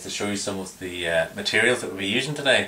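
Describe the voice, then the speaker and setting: A man with an Irish accent, fairly low in pitch, talking very fast over noticeable background noise. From Ireland. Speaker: fly tier. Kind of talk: tutorial. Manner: halting, many fillers.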